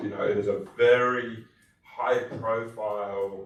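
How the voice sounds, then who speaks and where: A man with an Australian accent amid noticeable background noise and audible room echo. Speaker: tech company executive, conference panelist. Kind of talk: panel discussion.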